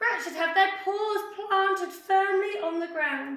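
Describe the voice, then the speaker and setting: In a put-on character voice, a woman speaks at an extremely high pitch and a fairly slow pace, with a slight echo. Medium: read story. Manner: prim, warning.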